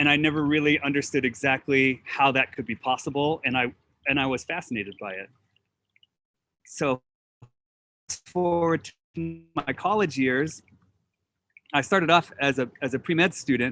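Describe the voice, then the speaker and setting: With a General American accent, a man speaks at a moderate pace in a bright, sharp tone, taking long, frequent pauses, his pitch varying in an ordinary way, and the sound is dry and close with no echo. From US West, Oregon. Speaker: botanist. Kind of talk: presentation.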